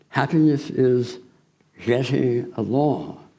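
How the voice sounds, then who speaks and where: A man's medium-pitched voice comes through with audible room echo around it. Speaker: guest preacher. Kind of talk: sermon. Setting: church.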